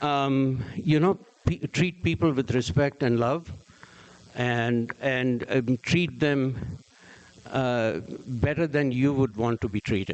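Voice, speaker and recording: A man speaks very slowly at a medium pitch with very even loudness. Background noise is noticeable. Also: ordinary pitch variation. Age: 60s. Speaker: entrepreneur and investor. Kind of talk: Q&A answers. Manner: halting.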